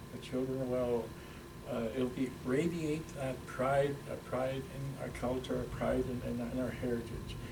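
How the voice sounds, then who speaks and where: Audible room echo surrounds a man speaking fairly slowly at a medium pitch with monotone, flat intonation. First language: Ojibwe. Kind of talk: interview. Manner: halting, many fillers and repetitions.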